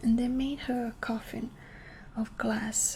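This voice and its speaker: In a gentle, dark, mellow and somewhat breathy tone, a woman talks at a very slow pace with a fairly high pitch and monotone, flat intonation. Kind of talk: ASMR bedtime story reading. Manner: soft, slow, gentle.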